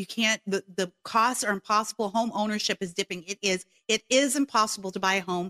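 With a bright, sharp tone and fairly even intonation, a woman speaks fairly quickly at a fairly high pitch. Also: dry, close sound with no echo. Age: 40s. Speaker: radio host and podcaster. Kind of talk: talk radio monologue.

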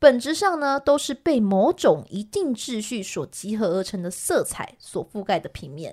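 Very cleanly recorded against a silent background, a woman speaks at a fairly slow pace in a fairly high pitch. Her pitch swings very widely and her loudness shifts a lot. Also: hardly any pauses. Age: 30s. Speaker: podcast co-host, art presenter. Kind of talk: art history explanation in a casual podcast.

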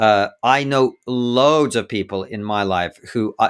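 A man speaks with an English accent and ordinary pitch variation. The recording is very clean, with a silent background. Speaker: podcast host and comedian. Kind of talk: interview, debate-style discussion.

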